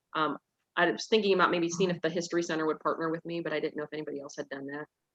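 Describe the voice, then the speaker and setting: Loud and at a very fast pace, a woman speaks with a fairly low pitch and fairly even intonation. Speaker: librarian. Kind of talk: casual chat.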